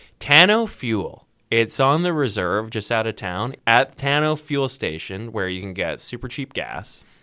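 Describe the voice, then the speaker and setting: With a western Canadian accent, the speaker uses a bright, sharp tone and lively intonation at a fairly slow pace on a very clean recording with a silent background. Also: man, medium pitch for a man, hardly any pauses. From Vancouver, British Columbia, Canada. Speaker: radio host. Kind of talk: casual chat.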